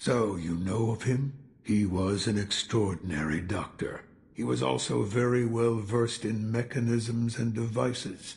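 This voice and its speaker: Using a put-on character voice, a man talks at a moderate pace with a medium pitch and ordinary pitch variation. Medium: video game. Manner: slow, reflective, gravelly storytelling.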